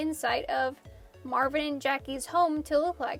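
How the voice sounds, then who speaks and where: Music plays behind a woman speaking. She keeps a moderate pace and fairly even intonation. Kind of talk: casual art process narration.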